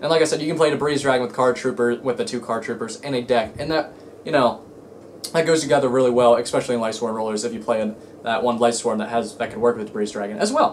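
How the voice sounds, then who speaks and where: A man's medium-pitched voice at a very fast pace. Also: ordinary pitch variation. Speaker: card game YouTuber. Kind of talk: casual vlog rant. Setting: home, in own room. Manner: halting, stuttering.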